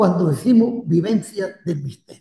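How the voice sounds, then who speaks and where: His tone is dark and mellow. The man speaks with lively intonation. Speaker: priest. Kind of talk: lecture. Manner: halting.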